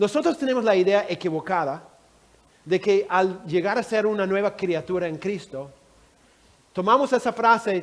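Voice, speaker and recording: Lively intonation runs through a man's high-pitched voice. His pace is fairly slow. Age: 60s. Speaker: Bible teacher. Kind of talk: Bible teaching session.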